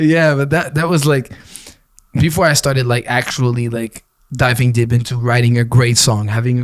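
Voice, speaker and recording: A man speaks with a Quebec accent. His pace is fairly quick. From Quebec (Gatineau). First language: French. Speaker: rapper. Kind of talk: casual chat.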